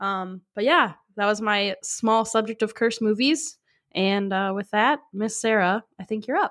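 A woman talks in a normal speaking voice with ordinary pitch variation, the sound dry and close with no echo. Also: fairly high pitch for a woman, fairly slow pace. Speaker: podcast host. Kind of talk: casual chat. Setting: remote recording over video call.

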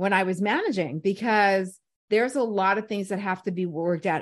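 Against a quiet background, a woman with a normal speaking voice talks at a moderate pace in a medium pitch with ordinary pitch variation. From New York City (Brooklyn/Staten Island). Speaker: radio personality and program director. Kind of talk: casual interview chat.

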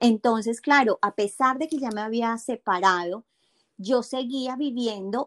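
The recording is dry and close, with no echo, as a woman speaks at a fairly slow pace in a fairly high pitch. She has an ordinary speaking voice with ordinary pitch variation. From Colombia. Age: 40s. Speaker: habit coach and meditation teacher. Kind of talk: interview.

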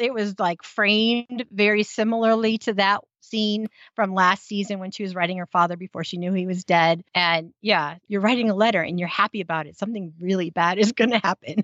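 A woman with a General American accent and an ordinary speaking voice talks at a fairly quick pace with hardly any pauses, a medium pitch, fairly even intonation and big swings in loudness. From United States. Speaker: podcast host. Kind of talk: casual chat, recap.

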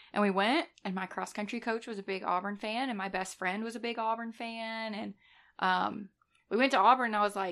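Fairly high in pitch, a woman speaks in a Southern US accent at a fairly quick pace with ordinary pitch variation. The recording is very clean with a silent background. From North Alabama. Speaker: nurse. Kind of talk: casual chat. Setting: home studio.

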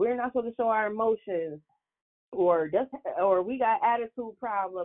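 A woman with a plain, everyday voice talks at a moderate pace, her fairly high pitch carried by lively intonation. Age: 30s. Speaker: media host and interviewer. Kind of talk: interview.

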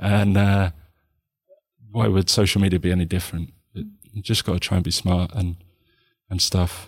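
A man with a very deep, low voice talks at a moderate pace in a monotone, flat intonation, leaving long, frequent pauses on a very clean recording with a silent background. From Hertfordshire, edge of North London. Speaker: podcast guest sharing mental health story. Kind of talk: casual chat. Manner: halting, many repetitions.

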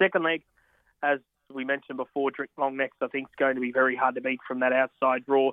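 A man with an Australian accent at a medium pitch, talking at a very fast pace in a monotone, flat intonation. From Australia, country Victoria. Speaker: horse racing tipster. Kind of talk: casual chat.

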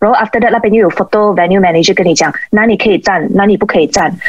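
Medium-pitched female speech with ordinary pitch variation and noticeable background noise. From Malaysia. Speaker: sports photographer and former figure skater. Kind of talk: interview.

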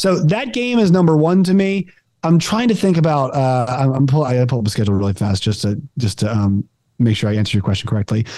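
Over a quiet background, a man at a medium pitch speaks very fast in a dark, mellow tone, his pitch swinging very widely while his loudness stays very even. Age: 20s. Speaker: podcast host, sports commentator. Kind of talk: casual chat.

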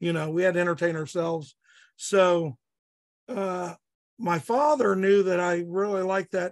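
High male voice in a Midwestern American accent, ordinary pitch variation, moderate pace. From Southeast Indiana. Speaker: police chief and archery gear designer. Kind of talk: casual interview. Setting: online call.

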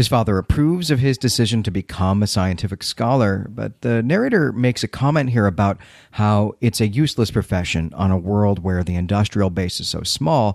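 A man with an American accent, a fairly low voice and lively intonation, at a fairly quick pace with hardly any pauses, on a very clean recording with a silent background. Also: dry, close sound with no echo. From Chicago, US Midwest. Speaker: podcast host. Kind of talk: casual podcast recap.

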